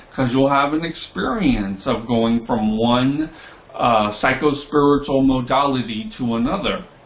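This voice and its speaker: Medium pitch from a male speaker, with noticeable background noise and audible echo from the room. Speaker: tarot and esoteric teacher. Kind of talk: lecture.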